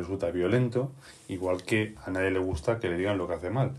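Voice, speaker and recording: A man speaks at a moderate pace with ordinary pitch variation, sounding somewhat breathy. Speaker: podcast host and game master. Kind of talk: casual chat.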